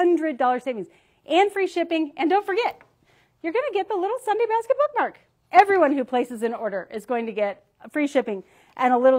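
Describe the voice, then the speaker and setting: Over a quiet background, a woman speaks at a moderate pace with very wide pitch swings. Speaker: founder and organizing coach; organizing coach. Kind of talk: casual livestream presentation. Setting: live video stream. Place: studio.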